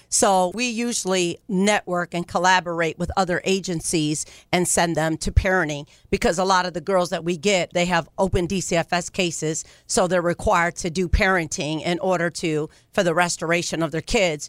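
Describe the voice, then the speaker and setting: A woman with a plain, everyday voice and an American accent speaks at a fairly low pitch and a moderate pace, with fairly even intonation. The recording is very clean, with a silent background and a dry, close sound with no echo. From Ohio. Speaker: nonprofit founder and pastor. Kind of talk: radio interview.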